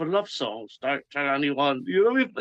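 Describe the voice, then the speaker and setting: A man's bright, sharp voice with an English accent, lively intonation and a fairly quick pace, in a dry, close sound with no echo. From England. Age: 50s. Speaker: musician. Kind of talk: interview. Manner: halting, many false starts.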